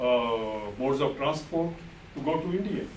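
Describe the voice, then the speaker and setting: A man with a fairly high voice speaks over noticeable background noise, with audible echo in the room. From Punjab, near Lahore (Pakistan), raised in Indian Punjab. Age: 60s. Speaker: war-era migration witness. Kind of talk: testimony. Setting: university classroom.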